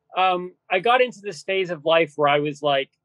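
At a moderate pace, a man speaks in a dry sound with no echo over a quiet background. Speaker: podcast guest. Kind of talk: interview answer. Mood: joking, lighthearted. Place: home room. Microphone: video call.

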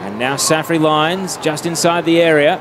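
Over noticeable background noise, a man speaks in an animated tone at a fairly high pitch. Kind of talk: live sports commentary. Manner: fast, clipped play-by-play delivery; animated, rising excitement on goals.

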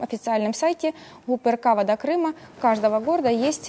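Moderate pacing and ordinary pitch variation from a woman. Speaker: guest. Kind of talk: interview answer. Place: studio.

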